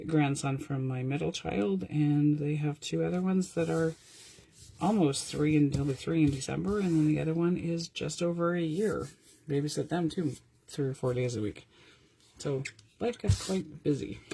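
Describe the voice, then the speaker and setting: Her voice has a dark, mellow tone and a very deep, low pitch, and the woman's intonation is lively. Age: 50s. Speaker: paper craft teacher. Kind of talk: tutorial. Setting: live stream from home craft room. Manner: fast; animated.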